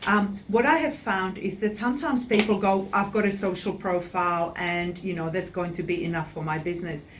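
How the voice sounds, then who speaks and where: With a non-native accent, a woman speaks at a fairly quick pace in a medium-pitched voice with ordinary pitch variation, amid noticeable background noise and audible room echo. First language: not English. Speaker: website designer. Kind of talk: interview.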